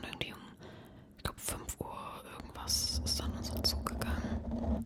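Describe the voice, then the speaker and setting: A woman whispers in a relaxed tone. Noticeable noise runs in the background. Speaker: ASMR creator. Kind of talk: ASMR whispered rambling talk to camera. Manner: whispered, relaxed, casual.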